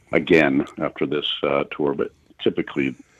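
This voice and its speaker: A man speaks at a fairly slow pace. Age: 60s. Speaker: touring musician. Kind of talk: radio interview.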